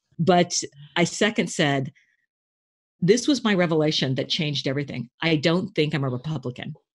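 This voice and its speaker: A woman's very deep, low voice, somewhat breathy, with lively intonation and long, frequent pauses, against a quiet background. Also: moderate pace. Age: 50s. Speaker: intuitive business coach. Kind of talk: casual chat.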